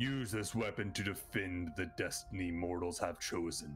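Over clear music in the background, a man uses a put-on character voice. He speaks at a fairly slow pace. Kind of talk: booming divine proclamation. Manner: solemn, commanding.

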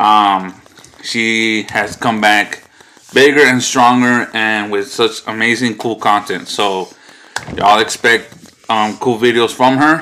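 This is a man speaking. His pace is very slow. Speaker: family vlogger. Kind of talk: casual vlog chat. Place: home room. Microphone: phone near.

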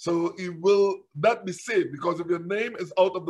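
A man with a high pitch and fairly even intonation, at a fairly slow pace against a quiet background. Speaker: preacher. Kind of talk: sermon, Bible teaching. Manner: repetitive, halting, fervent. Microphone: webcam.

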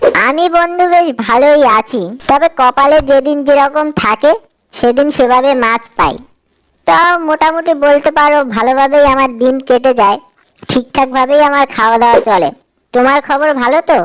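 At a fairly slow pace, a woman uses a cartoonish, high-pitched character voice.

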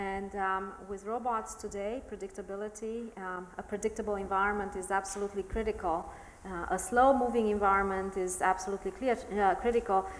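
At a fairly quick pace, a woman speaks at medium pitch with monotone, flat intonation. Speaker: robotics professor, lab director. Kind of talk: panel discussion. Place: hall.

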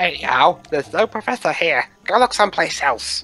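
The voice is a put-on character voice pitched in the middle range. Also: moderate pace. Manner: cranky.

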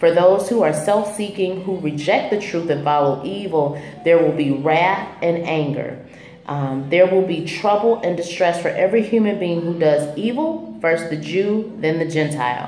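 A woman's fairly low voice at a moderate pace, with ordinary pitch variation, light background noise and audible room echo. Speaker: faith vlogger. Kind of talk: devotional vlog teaching. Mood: calm, earnest. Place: home room. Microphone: phone near.

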